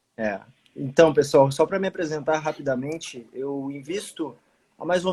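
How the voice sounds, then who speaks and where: The pace is moderate. Pitch variation is ordinary. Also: man. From southern Brazil, Rio Grande do Sul. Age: 20s. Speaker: army officer and investment page owner. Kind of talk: casual livestream conversation. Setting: live stream video call.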